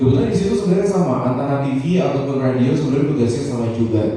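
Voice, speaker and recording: A man with a medium-pitched voice and lively intonation speaks over noticeable background noise, with audible room echo. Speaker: radio journalist and program director. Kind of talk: panel talk to workshop participants. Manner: casual.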